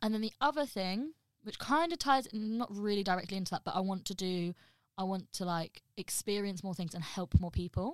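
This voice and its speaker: With a slight Midlands accent, a woman talks at a fairly quick pace in a medium pitch, her tone energetic and animated and her intonation lively, on a very clean recording with a silent background. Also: dry, close sound with no echo. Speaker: podcast co-host. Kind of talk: casual chat among friends. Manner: energetic, animated.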